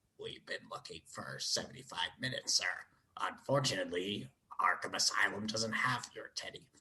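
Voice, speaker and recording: A man puts on a raspy character voice at a moderate pace, with big swings in loudness. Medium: solo performance. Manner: deferential.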